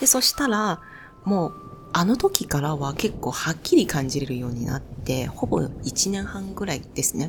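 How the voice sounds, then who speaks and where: Over noticeable background noise, a woman with a non-native accent speaks at a moderate pace, her fairly low pitch making very wide swings. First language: not Japanese (speaking Japanese). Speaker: spiritual youtuber. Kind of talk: personal storytelling monologue.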